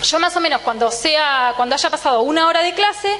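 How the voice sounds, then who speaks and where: Noticeable background noise sits behind a woman with a high pitch. She talks at a moderate pace with lively intonation. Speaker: physiology professor. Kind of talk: lecture. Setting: lecture hall with students. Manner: tends to speed up.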